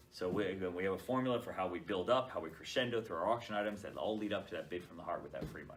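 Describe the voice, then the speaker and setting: Very fast delivery from a fairly low-pitched man, with hardly any pauses, ordinary pitch variation, big swings in loudness and noticeable background noise. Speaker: charity auctioneer. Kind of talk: interview answer, casual explanation.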